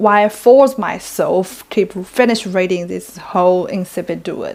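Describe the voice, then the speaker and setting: With a non-native accent, the speaker goes at a fairly slow pace with ordinary pitch variation. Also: woman. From China. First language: Chinese. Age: 20s. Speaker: book reviewer. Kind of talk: book review vlog.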